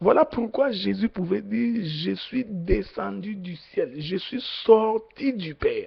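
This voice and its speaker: A man talks at a very slow pace. His loudness swings widely. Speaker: preacher. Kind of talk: sermon. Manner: slow, deliberate; hesitant, many fillers.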